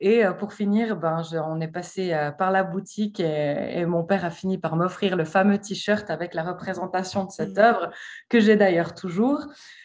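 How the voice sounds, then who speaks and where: A woman speaks at a fairly slow pace in a medium pitch with ordinary pitch variation, against a quiet background. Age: 30s. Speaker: art historian and association founder. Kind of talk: interview. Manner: hesitant, many fillers.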